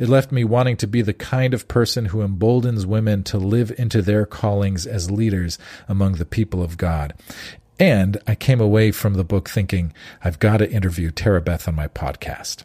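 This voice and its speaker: In a very clean recording with a silent background and a dry, close sound with no echo, a man with a fairly low pitch and a dark, mellow tone speaks at a moderate pace, somewhat breathy, with ordinary pitch variation. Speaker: podcast host. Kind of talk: interview conversation.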